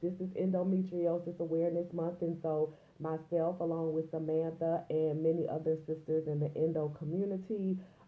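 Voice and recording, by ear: A woman speaks at a fairly low pitch with little pitch movement. Audible room echo surrounds her.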